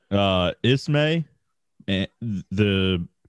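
A man talks with a very deep, low pitch. His tone is animated. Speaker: podcast co-host. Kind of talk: casual banter, storytelling with profanity. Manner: animated, profane, joking.

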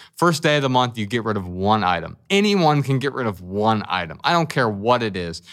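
On a very clean recording with a silent background, a man with an American accent talks with lively intonation. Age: 40s. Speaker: writer and speaker on minimalism. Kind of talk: interview conversation.

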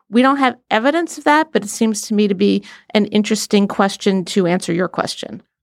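With a plain, everyday voice, a woman speaks at a fairly high pitch with lively intonation, recorded very cleanly against a silent background in a dry, close sound with no echo. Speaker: panelist and newspaper columnist. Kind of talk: casual panel discussion of politics.

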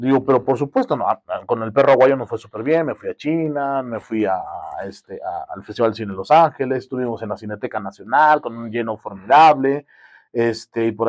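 This is a man with a normal speaking voice, medium in pitch with ordinary variation, talking at a fairly quick pace in a dry, close sound with no echo. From Mexico, Guerrero. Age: 30s. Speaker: filmmaker. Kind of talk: casual chat.

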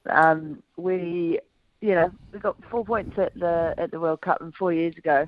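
A woman speaks with a fairly low pitch and ordinary pitch variation. She goes at a fairly slow pace, with long, frequent pauses. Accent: New Zealand. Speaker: former footballer, pundit. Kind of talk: casual radio interview.

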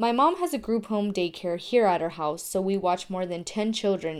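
With an American accent, someone speaks at a moderate pace in an ordinary speaking voice. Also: woman. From Tucson, Arizona. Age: 20s. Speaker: journalism student. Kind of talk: scripted narration.

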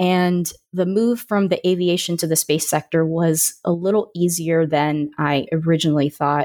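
A woman with an American accent and an ordinary speaking voice talks at a moderate pace with hardly any pauses, her fairly low pitch carried in fairly even intonation at very even loudness. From Florida, Orlando. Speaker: aerospace engineer and science communicator. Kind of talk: interview podcast.

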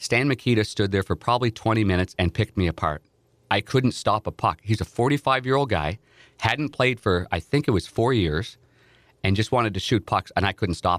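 A man speaks at a fairly low pitch and a fairly quick pace with lively intonation. The sound is dry and close with no echo, on a very clean recording with a silent background. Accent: Ontario. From Ontario, Canada (Nepean, near Ottawa). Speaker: hockey broadcast analyst and former goalie. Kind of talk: interview storytelling. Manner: animated.

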